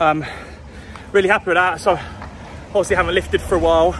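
Over light background noise, a man speaks at a very fast pace with fairly even intonation, and the sound is dry with no echo. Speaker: fitness vlogger. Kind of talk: casual vlog chat. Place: street. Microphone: phone near.

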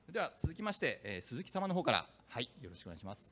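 His pitch swings very widely. The man's delivery is very fast. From Fukuoka, Japan. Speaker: panel moderator, business executive. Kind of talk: panel discussion at a conference. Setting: stage with audience. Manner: formal, polite. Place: hall. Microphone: handheld.

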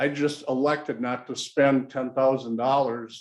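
A man with a medium pitch and fairly even intonation has a plain, everyday voice. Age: 60s. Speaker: local business owner, applicant at public meeting. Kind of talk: public meeting testimony. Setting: city planning commission meeting room.

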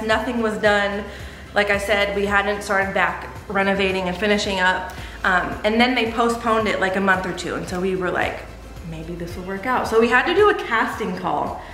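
Amid audible room echo and light background noise, a woman speaks at a moderate pace with ordinary pitch variation. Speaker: vlogger. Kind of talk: casual vlog chat. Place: home room. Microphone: camera far.

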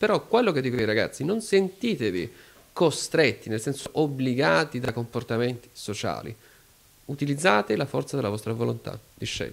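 A medium-pitched man talks at a fairly quick pace with vocal fry and lively intonation. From Apulia, Foggia; Apulia. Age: 30s. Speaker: philosopher; interview guest. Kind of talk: interview. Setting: club venue. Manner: formal. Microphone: handheld.

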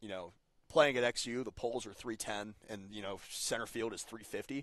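Here a man speaks with an American accent. His pitch is medium and his pace moderate. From Cincinnati, Ohio. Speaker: baseball team producer and writer. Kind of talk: podcast interview. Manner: halting, repeats words.

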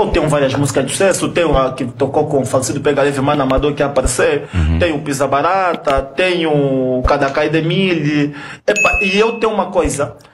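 Noticeable background noise sits behind a man with a fairly high pitch and ordinary pitch variation. He talks at a fairly quick pace with hardly any pauses. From Angola. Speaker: kuduro musician; podcast guest. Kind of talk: heated debate. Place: studio. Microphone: studio mic.

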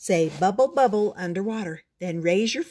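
Quiet background behind a natural reading voice

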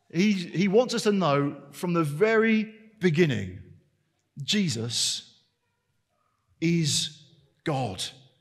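Speaking at a very slow pace with long, frequent pauses, a man with a high pitch and lively intonation talks over a quiet background. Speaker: preacher. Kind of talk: sermon. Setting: church service. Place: church. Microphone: headset.

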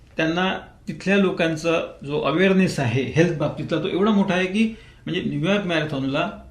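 The man has a high-pitched voice with ordinary pitch variation. Audible room echo surrounds it. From Vidarbha, Maharashtra (Amravati district). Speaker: retired tax official and marathon runner. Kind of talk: radio interview. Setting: radio studio.

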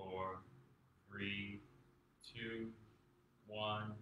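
A man's calm, soothing voice in monotone, flat intonation, with audible room echo and noticeable background noise. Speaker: meditation teacher. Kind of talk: guided meditation. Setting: live video stream. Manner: calm, slow, soothing. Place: home room. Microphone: camera far.

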